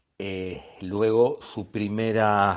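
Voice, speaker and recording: The speaker has a Buenos Aires accent and ordinary pitch variation. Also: man. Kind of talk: podcast talk on magic history. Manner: unhurried, rambling.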